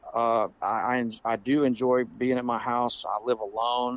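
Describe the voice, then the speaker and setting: A man speaks with a Southern US accent. His intonation is monotone and flat. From US South, Pensacola, Florida. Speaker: guitarist and educator. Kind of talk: casual interview chat. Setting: remote call.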